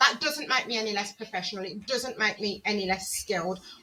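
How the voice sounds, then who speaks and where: In a Birmingham accent, the speaker talks at a moderate pace with ordinary pitch variation over noticeable background noise. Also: woman. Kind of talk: professional, assertive.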